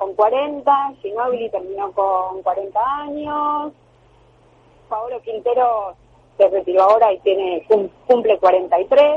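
Lively intonation at a very slow pace. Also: woman, fairly high pitch for a woman. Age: 40s. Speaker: basketball player and sports journalist. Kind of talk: radio interview.

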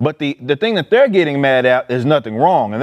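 Over a quiet background, a man with an American accent speaks in a normal speaking voice at a medium pitch and a fairly quick pace. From Dallas, Texas (Oak Cliff). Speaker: political commentator. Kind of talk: casual panel discussion.

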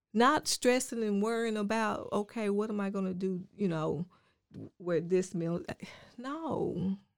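The speaker has a Southern US accent and a fairly slow pace, with ordinary pitch variation. The recording is very clean, with a silent background. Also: woman, medium pitch for a woman. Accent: Southern US (Georgia). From rural Georgia, US South. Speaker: life coach. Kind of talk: casual interview.

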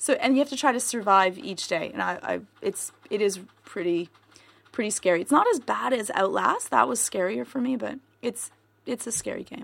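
In a fairly high pitch with vocal fry, a woman talks at a moderate pace with lively intonation. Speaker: podcast host and editor. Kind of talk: casual chat. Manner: laughs a lot.

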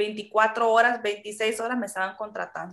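A woman with a Honduran accent. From Honduras. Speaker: Spanish teacher. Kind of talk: interview.

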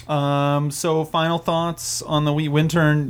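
Here a man with an American accent talks at a fairly slow pace. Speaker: podcast host. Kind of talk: casual chat. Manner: animated.

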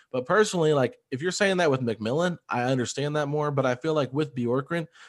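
A plain, everyday voice: a man at a fairly quick pace with ordinary pitch variation, against a quiet background. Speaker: basketball podcaster. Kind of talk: casual chat.

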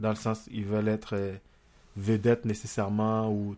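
A man speaks in a Haitian accent with a fairly low pitch. His pace is moderate, and the background is quiet. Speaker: amateur comedian. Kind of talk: casual chat.

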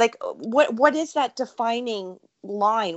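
A woman's voice with ordinary pitch variation. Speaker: podcast host. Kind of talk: interview; guest introduction. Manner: fast.

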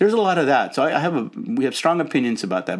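This voice speaks at a very fast pace with an American accent. Its pitch swings very widely. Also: man. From Los Angeles, US. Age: 60s. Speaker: nonprofit consultant. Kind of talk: casual interview.

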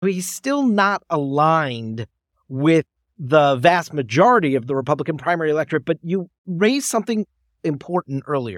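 Male speech in an ordinary speaking voice, pitched fairly high, moderate in pace and lively in intonation. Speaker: political podcast host. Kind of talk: interview.

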